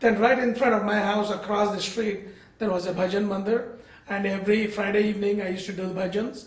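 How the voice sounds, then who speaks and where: A man's high, monotone voice at a very fast pace, with flat intonation, audible room echo, and noticeable background noise. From India, Bangalore. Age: 60s. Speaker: interfaith speaker and community organizer. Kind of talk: interview.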